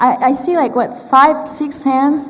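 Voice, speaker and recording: In a Turkish accent, a woman speaks at a fairly slow pace with fairly even intonation, amid noticeable background noise and audible room echo. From Turkey. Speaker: artist and academic panelist. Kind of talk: conference talk. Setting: stage with audience. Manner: conversational with frequent fillers.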